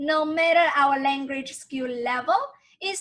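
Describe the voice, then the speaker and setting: A woman speaks in a high pitch. She has a Chinese accent. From tropical island, Chinese-speaking. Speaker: language teacher. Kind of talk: tutorial.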